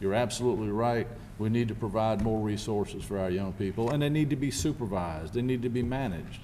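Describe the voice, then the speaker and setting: A man with a Lowcountry South Carolina accent talks at a very fast pace in a fairly low pitch, with ordinary pitch variation and very even loudness. Audible room echo surrounds the voice. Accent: US Southern (South Carolina Lowcountry). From South Carolina Lowcountry (Beaufort County). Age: 60s. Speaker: county sheriff. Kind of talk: press conference Q&A. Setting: press conference with media and public.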